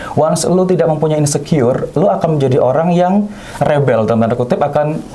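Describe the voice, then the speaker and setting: A fairly high-pitched man speaks at a very fast pace, with ordinary pitch variation and very even loudness. Noticeable background noise runs underneath. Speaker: news anchor and radio announcer. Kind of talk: interview answer.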